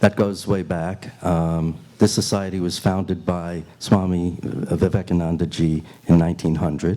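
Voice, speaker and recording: Someone with a New York accent speaks in a dark, mellow tone. The delivery is fairly slow, with monotone, flat intonation. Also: man. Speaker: Q&A moderator. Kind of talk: panel Q&A answer. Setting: retreat hall with audience. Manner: halting.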